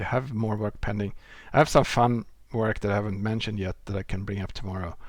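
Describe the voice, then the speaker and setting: The speaker has a non-native accent and fairly even intonation at a moderate pace. The recording is very clean with a silent background. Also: man. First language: not English. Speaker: software developer and live streamer. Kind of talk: live coding stream chat. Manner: casual, with filler sounds.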